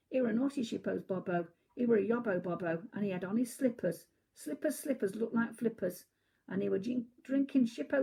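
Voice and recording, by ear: A natural voice reads a text aloud. Nothing can be heard behind it.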